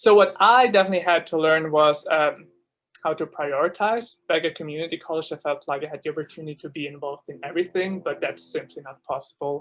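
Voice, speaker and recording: The speaker has a German accent. The pace is very fast. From Switzerland (Zurich). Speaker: student ambassador. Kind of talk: informational presentation. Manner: casual, many fillers.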